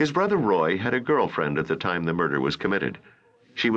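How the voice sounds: The reading voice here is natural. It stays that way from start to finish.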